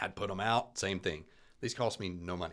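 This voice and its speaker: A man's very deep, low voice with a bright, sharp tone, in a Southern US accent at a very fast pace. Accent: Southern twang. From Alabama. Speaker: real estate agent. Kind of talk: casual chat. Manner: loud.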